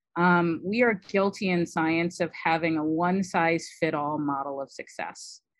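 An American accent from a woman with a fairly low pitch, fairly even intonation and a moderate pace, hardly any pauses, against a quiet background. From US Midwest. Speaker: immunology professor. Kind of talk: interview.

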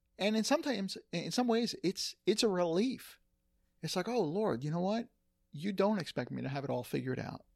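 A man speaks at a high pitch, his intonation lively. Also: moderate pace, very clean recording, silent background. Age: 50s. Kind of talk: casual chat.

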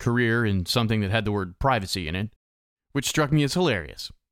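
A quiet background under plain reading aloud

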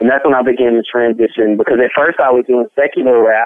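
A man speaks with a Memphis accent. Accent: Southern US (Memphis). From Memphis, Tennessee. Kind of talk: interview testimony.

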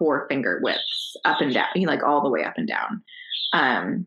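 Speaking at a moderate pace, a woman with a normal speaking voice uses lively intonation. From Connecticut. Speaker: stay-at-home homeschooling mother. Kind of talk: interview about personal health story.

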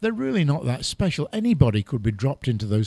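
Recorded very cleanly over a silent background with a dry, close sound and no echo, a man speaks at a medium pitch, somewhat breathy, with lively intonation. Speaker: travel photographer. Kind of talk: casual interview chat.

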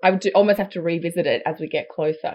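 A woman talks at a very fast pace. She has an Australian accent. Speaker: astrologer. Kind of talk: casual chat. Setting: video call.

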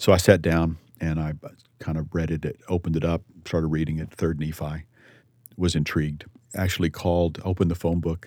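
A man with a Texan accent speaks at a very fast pace with a very deep, low pitch. His tone is dark and mellow, his intonation monotone and flat. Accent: Texan American. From Texas. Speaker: litigation attorney, Army veteran. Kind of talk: interview testimony.

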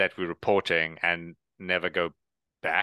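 In a South African accent, a man speaks with monotone, flat intonation. The sound is dry and close with no echo, against a quiet background. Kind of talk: casual professional discussion.

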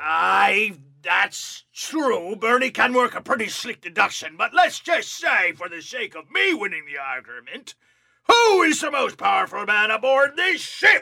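A man performs a put-on character voice. It is high-pitched for a man and moves at a moderate pace. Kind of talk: comic overacting pirate. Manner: pompous, florid, exasperated.

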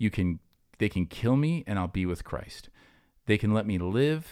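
Recorded very cleanly against a silent background, a man speaks at a fairly low pitch. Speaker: pastor and podcast host. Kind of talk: casual chat. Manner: fast.

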